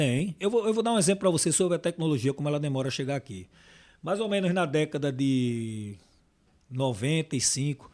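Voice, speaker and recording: With lively intonation and a fairly quick pace, a man talks on a very clean recording with a silent background. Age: 60s. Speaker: packaging sales manager. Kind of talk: podcast interview. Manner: halting.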